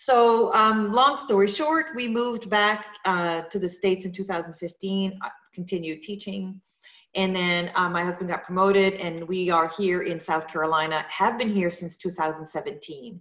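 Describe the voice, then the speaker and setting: Speaking at a moderate pace, a woman uses a French Canadian accent. Her pitch is medium and its variation ordinary. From Quebec, French Canada. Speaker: yoga studio owner. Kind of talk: interview. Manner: halting, many fillers.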